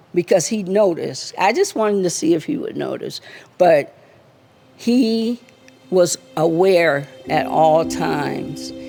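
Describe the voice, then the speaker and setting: A woman talks very slowly, leaving long, frequent pauses, while music plays in the background. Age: 60s. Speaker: martial arts instructor. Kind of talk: memorial tribute.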